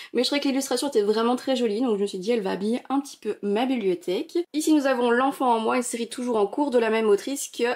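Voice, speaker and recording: A woman with a high pitch talks in a dark, mellow tone with lively intonation. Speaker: manga collector youtuber. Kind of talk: casual vlog tour. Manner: animated.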